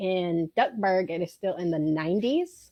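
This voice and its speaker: Speaking in a strong Southern US accent, a woman shows ordinary pitch variation. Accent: thick southern. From South Georgia, US South. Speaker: theme park character attendant. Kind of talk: casual chat.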